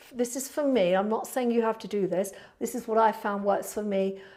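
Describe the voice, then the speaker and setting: Here a woman speaks with a British accent. Her pitch varies in an ordinary way. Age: 60s. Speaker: pilates instructor. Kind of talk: live Q&A with viewers. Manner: casual, hesitant with fillers.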